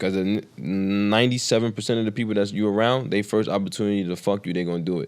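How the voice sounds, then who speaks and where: Very fast and with hardly any pauses, a man speaks. His voice is fairly low. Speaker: podcast guest. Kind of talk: casual interview. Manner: monotone.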